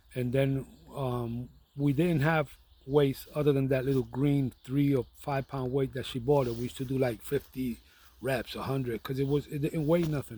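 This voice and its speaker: A man with a New York accent speaks at a moderate pace in a medium pitch and monotone, flat intonation. His tone is dark and mellow and somewhat breathy. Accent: New York (Bronx) English. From New York City (the Bronx). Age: 60s. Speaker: vlogger. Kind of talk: casual monologue. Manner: hesitant, with fillers and repetitions.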